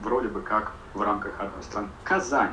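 A man is speaking in a room with audible echo. Noticeable background noise runs underneath. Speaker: podcast guest living abroad. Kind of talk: casual chat.

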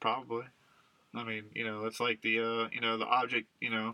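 This man's pitch is medium and his pace fairly quick. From Louisiana. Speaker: podcast co-host. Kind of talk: casual chat.

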